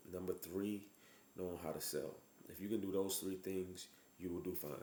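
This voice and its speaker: A man with a very deep, low voice speaks in a flat monotone, his tone dark and mellow, with audible room echo. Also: moderate pace. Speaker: physician giving business advice. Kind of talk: motivational talk to camera. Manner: halting, stuttering; casual.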